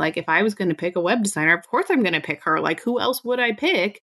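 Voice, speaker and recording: A woman speaks in an animated tone with ordinary pitch variation. The sound is dry and close with no echo. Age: 30s. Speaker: podcast host, birth work educator. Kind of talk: interview.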